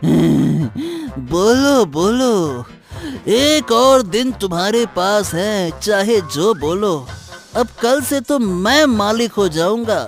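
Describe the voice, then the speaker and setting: Delivered at a very slow pace, a cartoonish character voice sits at a fairly high pitch while faint music plays in the background. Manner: excited, playful.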